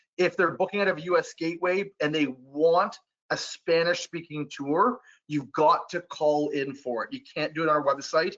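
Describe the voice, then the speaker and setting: A high-pitched man with ordinary pitch variation. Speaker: travel supplier trainer. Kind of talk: webinar presentation. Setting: online webinar. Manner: fast; casual, filler-heavy.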